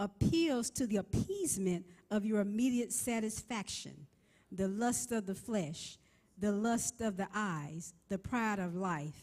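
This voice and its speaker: Somewhat breathy and dark, mellow in tone, a woman talks at medium pitch and a fairly slow pace. Her intonation is lively. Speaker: preacher, minister. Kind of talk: sermon preaching.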